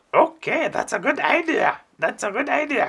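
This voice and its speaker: A put-on character voice pitched high. It moves at a moderate pace. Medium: read story.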